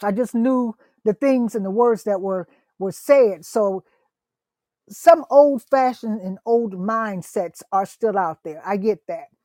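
A woman with an American accent, fairly high pitch, lively intonation and an animated tone at a fairly slow pace, in a dry, close sound with no echo. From US Midwest. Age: 60s. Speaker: minister. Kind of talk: casual interview. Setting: online call.

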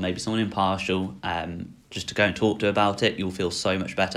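A man speaks fairly quickly with an English accent. His very deep, low voice keeps fairly even intonation. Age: 20s. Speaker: vlogger. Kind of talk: personal vlog monologue. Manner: hesitant, many fillers.

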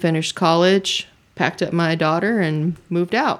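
In a plain, everyday voice, a woman with an American accent speaks at a fairly low pitch and a moderate pace, her intonation fairly even, on a very clean recording with a silent background. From Georgia, US South. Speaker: entertainment website owner. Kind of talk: casual chat.

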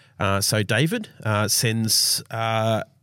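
The recording is very clean, with a silent background. A man with an Australian accent speaks at a fairly low pitch with fairly even intonation. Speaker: church team member. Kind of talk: casual chat.

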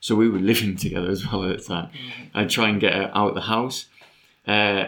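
A man speaks at a fairly low pitch with vocal fry and ordinary pitch variation. The recording is very clean, with a silent background. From northeast England. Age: 40s. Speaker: podcast guest. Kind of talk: personal testimony in casual chat.

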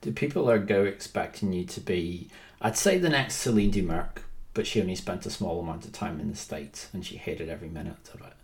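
Somewhat breathy, a man speaks in a fairly low pitch. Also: ordinary pitch variation, big swings in loudness. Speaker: basketball podcast host. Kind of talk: interview.

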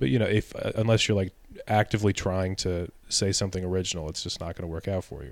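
Very deep and low, a man's voice moves at a very fast pace with big swings in loudness and ordinary pitch variation. The recording is very clean, with a silent background. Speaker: stand-up comedian. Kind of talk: casual chat.

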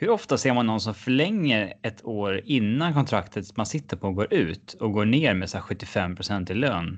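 Against a quiet background, a man with an unremarkable speaking voice talks at a moderate pace and fairly low pitch, using lively intonation and hardly any pauses. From Sweden, Gothenburg. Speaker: sports podcast co-host. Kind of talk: casual hockey discussion.

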